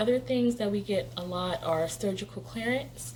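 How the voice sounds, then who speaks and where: A woman talks while clear background noise carries on behind her. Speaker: medical assistant vlogger. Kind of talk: casual vlog explanation. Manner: fast.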